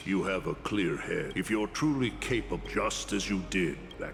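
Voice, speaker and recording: Over clear music in the background, a man performs a put-on character voice. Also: moderate pace. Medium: video game.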